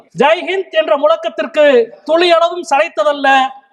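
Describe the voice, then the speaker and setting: Noticeable background noise sits behind a man speaking at an extremely high pitch. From Madurai, Tamil Nadu, India. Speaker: Member of Parliament. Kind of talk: parliamentary speech, political debate. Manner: fiery, forceful, rhetorical.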